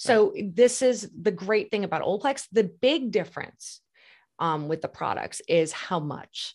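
A woman with an American accent and a plain, everyday voice, lively in intonation, on a very clean recording with a silent background. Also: medium pitch for a woman. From New York. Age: 50s. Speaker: hair care brand trainer and spokesperson. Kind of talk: casual interview chat.

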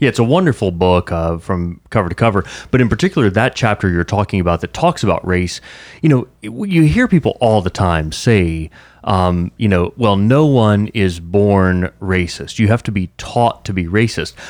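A man speaks at a moderate pace with a fairly low pitch, ordinary pitch variation, and an unremarkable speaking voice on a very clean recording with a silent background. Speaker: radio co-host. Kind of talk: interview.

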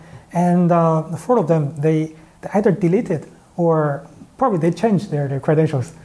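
The man's voice is fairly high-pitched, dark and mellow, with ordinary pitch variation. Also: moderate pace. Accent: Chinese. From China. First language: Chinese. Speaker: startup founder. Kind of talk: interview. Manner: hesitant, many fillers.

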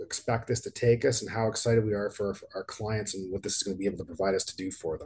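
A somewhat breathy man with a Canadian accent, at a fairly quick pace. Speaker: financial advisor and podcast host. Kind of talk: scripted announcement. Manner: monotone.

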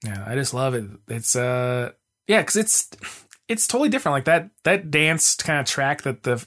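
A man with an American accent and a plain, everyday voice, fairly high in pitch, at a fairly quick pace. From Arizona, Mesa. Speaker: podcaster and music fan. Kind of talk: casual chat.

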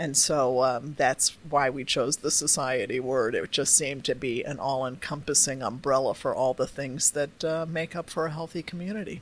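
Moderate pace with hardly any pauses. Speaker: nonprofit executive director. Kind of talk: interview.

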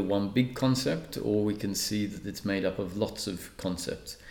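Fairly even intonation at a fairly slow pace, calm in tone, with an Australian accent. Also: man. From Australia (Perth), born in Malta. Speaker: spiritual teacher and speaker. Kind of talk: interview. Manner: calm, measured with frequent filler pauses.

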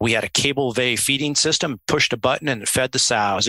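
Recorded with a dry, close sound and no echo, a man with a Midwestern American accent and a bright, sharp tone talks at a fairly quick pace with fairly even intonation. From US Midwest, central Illinois. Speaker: swine veterinarian. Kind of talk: interview.

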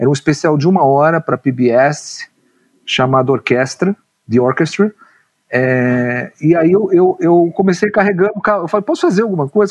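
Lively intonation marks this man's high-pitched voice, while his loudness stays very even. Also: dry, close sound with no echo. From São Paulo, Brazil (Ipiranga). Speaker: screenwriter. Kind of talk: interview conversation. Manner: hesitant, repeats words.

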